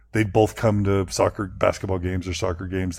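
A man speaks at a very deep, low pitch, somewhat breathy, at a moderate pace. His intonation is fairly even, and the recording is very clean with a silent background. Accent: American. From Texas. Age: 40s. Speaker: podcaster. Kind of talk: interview.

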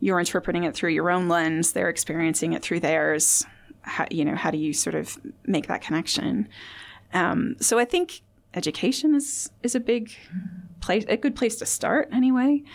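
The speaker has a Midwestern accent and a moderate pace. The pitch swings very widely. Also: woman, medium pitch for a woman. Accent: American Midwestern. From US Midwest, Indiana. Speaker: clinical psychology academic. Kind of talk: interview. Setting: studio.

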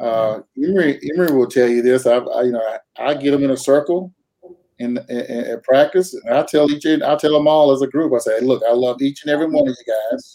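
The man talks at a fairly quick pace with ordinary pitch variation. His voice is fairly high for a man, with a dark, mellow tone. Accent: Southern US. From North Carolina, US South. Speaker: high school coach, military veteran. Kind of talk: interview.

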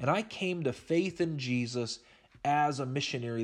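A man with an American accent speaks at a moderate pace in a fairly high pitch with ordinary pitch variation. His is an ordinary speaking voice. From Oklahoma. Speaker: Bible teacher. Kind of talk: Bible study lecture.

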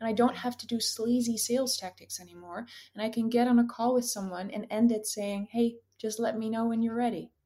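A woman speaks in a Dutch accent at a fairly quick pace. Her dark, mellow tone sits at a fairly high pitch with monotone, flat intonation. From Netherlands. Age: 20s. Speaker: career coach. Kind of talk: casual chat.

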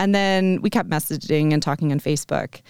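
A woman speaks at a moderate pace in a very clean recording with a silent background, the sound dry and close with no echo. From US, Vermont. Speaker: aerial silks instructor. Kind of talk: casual interview.

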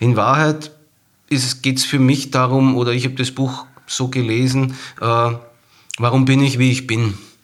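This man has a medium pitch and fairly even intonation. His pace is moderate. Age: 40s. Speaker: marketing professional and non-fiction author. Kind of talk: casual chat about a book.

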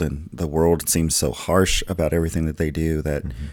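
Very deep and low, a man's voice with an American accent has a dark, mellow tone and a moderate pace. The recording is very clean with a silent background. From US South. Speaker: pastor. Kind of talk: casual chat. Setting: studio.

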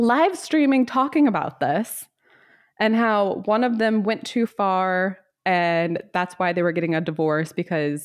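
Against a quiet background, a woman speaks with lively intonation. Hers is an unremarkable speaking voice. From US South. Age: 30s. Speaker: podcast host. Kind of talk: casual chat.

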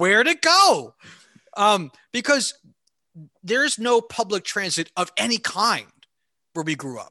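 Raising and projecting his voice, a man with an American accent speaks at a high pitch in a bright, sharp tone, with very wide pitch swings, a fairly slow pace and long, frequent pauses, in a dry, close sound with no echo. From US Northeast, New Jersey (Hunterdon County). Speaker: podcast co-host. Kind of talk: casual chat.

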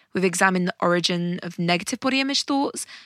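Recorded very cleanly against a silent background, a woman talks at a medium pitch in an unremarkable speaking voice, the sound dry and close with no echo. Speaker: meditation guide and podcast host. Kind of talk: guided meditation. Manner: slow, calm and soothing, with gentle pauses between instructions; warm and encouraging.

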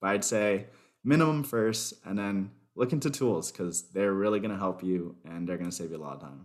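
A normal speaking voice from a man with an American accent, fairly low in pitch and fairly quick in pace, with lively intonation and big swings in loudness, on a very clean recording with a silent background. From US South, Miami, Florida. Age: 20s. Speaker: software developer. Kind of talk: interview.

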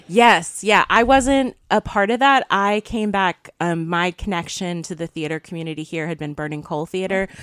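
A woman with an ordinary speaking voice, medium pitch and lively intonation, at a moderate pace with hardly any pauses, on a very clean recording with a silent background and a dry, close sound with no echo. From US South, eastern Wake County, North Carolina. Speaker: theatre festival director. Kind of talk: radio interview. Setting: radio studio.

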